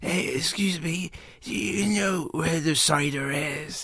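Putting on a character voice in a strong West Country accent, a man speaks fairly slowly at a fairly high pitch over light background noise. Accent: thick West Country. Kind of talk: slurred, friendly.

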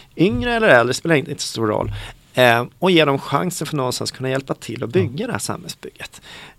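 The intonation is lively. The pace is very fast. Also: man, fairly high pitch for a man. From Stockholm, Sweden. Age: 40s. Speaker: city director. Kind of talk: interview conversation.

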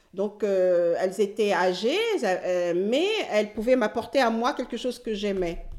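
Noticeable background noise runs under the clip. A woman talks fairly slowly at a fairly high pitch, with ordinary pitch variation. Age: 60s. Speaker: retired nurse and amateur actress. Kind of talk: personal testimony interview. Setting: at home. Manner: animated, energetic; distinctive way of speaking and laughing.

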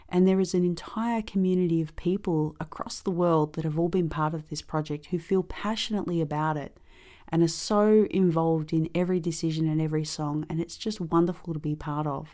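A woman with an Australian accent, dark and mellow in tone, at a fairly quick pace with fairly even intonation and hardly any pauses. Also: fairly low pitch for a woman. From Australia, Melbourne. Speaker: ukulele player. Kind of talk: interview testimony.

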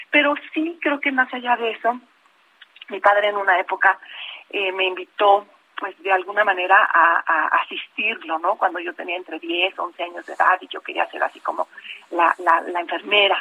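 A woman speaks in a plain, everyday voice at a medium pitch. Her intonation is lively and her pace moderate. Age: 50s. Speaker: open-water swimmer and lawyer. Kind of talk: radio interview.

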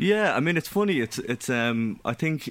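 A man with a west of Ireland accent, fairly quick and lively in intonation, on a very clean recording with a silent background. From Ireland, County Mayo (Castlebar). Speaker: musician and record label founder. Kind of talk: radio interview.

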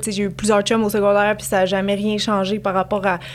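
The speaker is a woman at medium pitch. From Quebec, Montreal. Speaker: YouTuber and influencer. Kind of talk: casual chat.

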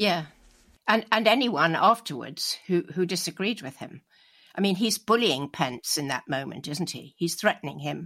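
With a British accent, a woman speaks at a moderate pace in a fairly low pitch, her bright, sharp tone carrying lively intonation and big swings in loudness. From United Kingdom. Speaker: expert on myth and history. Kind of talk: interview discussion. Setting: remote call from home.

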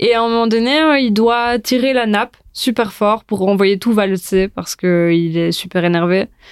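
A woman with a plain, everyday voice speaks at a fairly slow pace in a fairly high pitch with ordinary pitch variation. The recording is very clean, with a silent background. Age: 20s. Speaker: food and film influencer, journalism student. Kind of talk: casual chat.

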